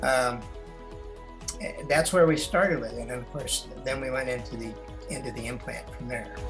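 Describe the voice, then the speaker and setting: A man talks while music plays in the background. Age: 70s. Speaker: Navy veteran, retired. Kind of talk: interview answer. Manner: hesitant, conversational.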